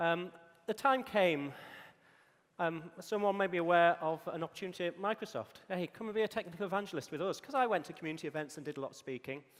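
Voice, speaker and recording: Talking very fast in a Yorkshire accent, a man uses a high pitch with ordinary pitch variation. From northern England, Yorkshire. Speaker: conference speaker, technical evangelist. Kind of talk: conference talk. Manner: frequent filler ums.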